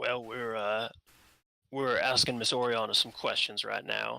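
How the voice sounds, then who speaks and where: A raspy put-on character voice at a moderate pace, on a very clean recording with a silent background. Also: man, medium pitch for a man. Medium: actual play. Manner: terse, suspicious.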